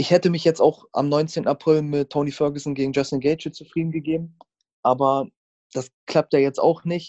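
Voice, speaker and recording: A fairly high-pitched man speaks at a moderate pace in a flat, monotone way, his tone dark and mellow. The sound is dry and close, with no echo. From Germany, Hannover. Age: 20s. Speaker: MMA fighter. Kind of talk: interview. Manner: hesitant, many filler sounds.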